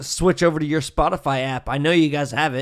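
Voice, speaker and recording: With an unremarkable speaking voice, a man talks at a moderate pace and fairly high pitch, his intonation fairly even. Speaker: podcast host.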